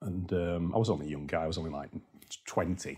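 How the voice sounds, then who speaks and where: With a very deep, low pitch, a man speaks at a fairly quick pace. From Yorkshire. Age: 50s. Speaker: property investor. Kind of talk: interview. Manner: animated.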